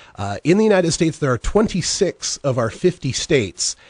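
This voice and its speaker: The man's voice is somewhat breathy. Behind him the background stays quiet. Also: dry sound with no echo. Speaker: marijuana legalization radio host and activist. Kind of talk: conference presentation and Q&A. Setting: Skype video call. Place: studio. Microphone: studio mic.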